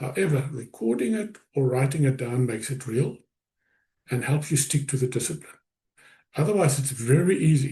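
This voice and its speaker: A man talks at a moderate pace with fairly high pitch and a somewhat breathy voice. He takes long, frequent pauses. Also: ordinary pitch variation. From South Africa. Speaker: business coach / presenter. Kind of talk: webinar presentation.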